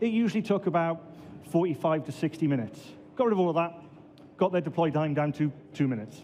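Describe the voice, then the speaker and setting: Very fast speech broken by long, frequent pauses comes in a Welsh accent, with a dark, mellow tone and ordinary pitch variation. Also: man, high pitch for a man. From Wales, Swansea. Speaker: database administrator and conference speaker. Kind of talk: conference talk.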